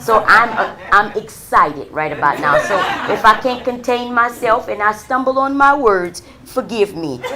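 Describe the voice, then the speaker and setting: Her tone animated and her intonation lively, a woman talks at a moderate pace. Noticeable background noise and audible room echo fill the recording. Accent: American. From Louisiana, New Iberia area. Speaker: city council member, political candidate. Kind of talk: campaign speech. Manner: loud.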